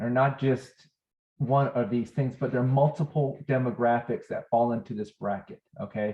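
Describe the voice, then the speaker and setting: Some breathiness runs through the speech. The tempo stays moderate. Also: man. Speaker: healthcare educator. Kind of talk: lecture.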